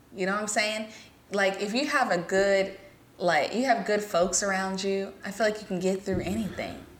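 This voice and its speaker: Her pitch medium and her intonation fairly even, a woman with an American accent moves at a fairly quick pace amid audible room echo. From US South (Alabama, Georgia, Mississippi). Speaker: podcast co-host. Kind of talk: casual chat.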